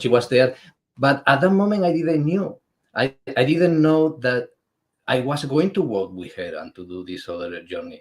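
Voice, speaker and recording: Speaking with a Spanish accent at a moderate pace, a man uses a fairly high pitch with very wide pitch swings and big swings in loudness. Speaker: spiritual artist and pilgrim. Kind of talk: interview. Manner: halting.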